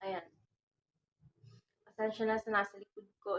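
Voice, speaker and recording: A woman speaks in a soft-spoken manner at a medium pitch. Her intonation is monotone and flat. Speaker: vlogger. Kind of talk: casual vlog talk. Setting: at home at night. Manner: halting.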